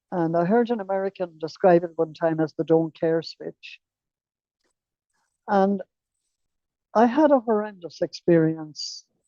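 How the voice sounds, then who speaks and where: Dark and mellow in tone, a woman's fairly low voice carries an Irish accent at a fairly slow pace. Her pitch varies in an ordinary way, and the sound is dry and close with no echo. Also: long, frequent pauses. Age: 80s+. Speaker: recovering alcoholic sharing her story. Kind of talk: testimony.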